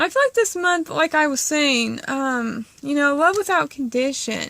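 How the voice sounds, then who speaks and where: A woman's raised, projected voice in a bright, sharp tone, with ordinary pitch variation at a fairly slow pace. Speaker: tarot reader. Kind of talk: tarot reading monologue. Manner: casual, filler-heavy.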